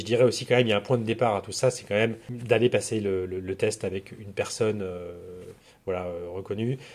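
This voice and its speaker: Against a silent background in a very clean recording, a man speaks at a fairly quick pace with a fairly low pitch. His intonation is fairly even, while his loudness swings widely. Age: 40s. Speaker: agency founder in recruitment marketing. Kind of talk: interview. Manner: halting.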